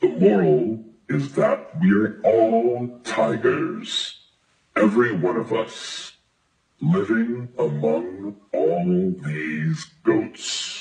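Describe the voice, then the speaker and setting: At a very slow pace, a man speaks at a medium pitch with very wide pitch swings. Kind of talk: bedtime story. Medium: read story. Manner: calm, warm.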